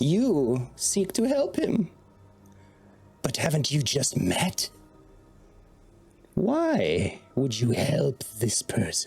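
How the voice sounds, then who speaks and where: In a put-on character voice, the speaker goes at a very slow pace with long, frequent pauses while faint music plays in the background. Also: man, fairly high pitch for a man. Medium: actual play. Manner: slow, sly, falsely kind.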